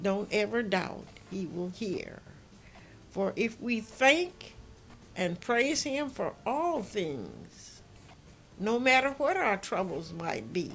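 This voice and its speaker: Over music in the background, a woman talks very slowly at a fairly high pitch, her pitch swinging very widely between long, frequent pauses. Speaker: poet. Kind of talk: poetry reading. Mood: earnest, gentle, devout. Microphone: phone near.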